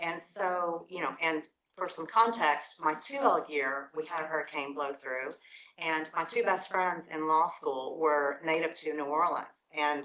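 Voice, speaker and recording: This woman has an East Tennessee accent. Her pitch is very deep and low. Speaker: lawyer, former law review editor, panelist. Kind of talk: panel talk, personal recollection.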